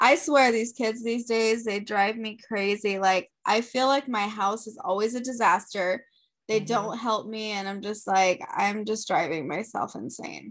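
With hardly any pauses, a woman speaks at a moderate pace in a normal speaking voice, with ordinary pitch variation. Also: fairly high pitch for a woman. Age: 30s. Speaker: podcast co-host, mother. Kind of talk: casual chat.

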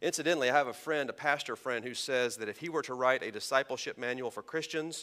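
In an American accent, a man speaks at a medium pitch with a bright, sharp tone. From Texas. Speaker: pastor. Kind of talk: sermon. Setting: church sanctuary.

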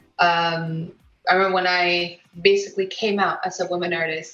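With a Mexican accent, a woman speaks at a moderate pace and a medium pitch with fairly even intonation. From Mexico. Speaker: illustrator. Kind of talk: interview.

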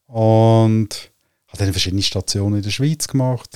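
A man with a Central Swiss accent and a fairly low pitch talks at a fairly quick pace in a dark, mellow tone, with a dry, close sound with no echo on a very clean recording with a silent background. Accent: Lucerne Swiss German. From Switzerland, Lucerne area. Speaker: business coach and astrologer. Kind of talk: casual interview conversation. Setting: on a sofa at the host's place. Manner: halting with many fillers.

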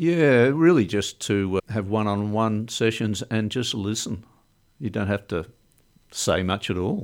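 A man with an Australian accent, fairly low in pitch with ordinary pitch variation, at a fairly slow pace on a very clean recording with a silent background. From Melbourne, Australia. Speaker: cancer survivor. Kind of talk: casual interview.

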